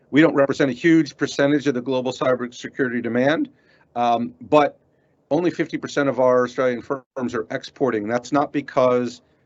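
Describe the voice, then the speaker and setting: With an American accent, a man talks at a fairly quick pace, his medium pitch carrying fairly even intonation. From United States. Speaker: cybersecurity industry representative. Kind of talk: presentation. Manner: halting.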